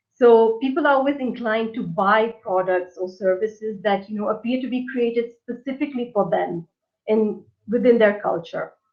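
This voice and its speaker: This woman talks at a moderate pace with a Portuguese accent. Her pitch is fairly high, with ordinary variation. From India. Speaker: localization professional. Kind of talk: webinar presentation. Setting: online webinar.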